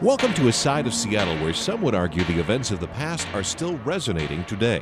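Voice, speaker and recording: A man talking at a fairly quick clip with very wide pitch swings and hardly any pauses, music playing behind him. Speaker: radio news reporter. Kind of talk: news feature narration.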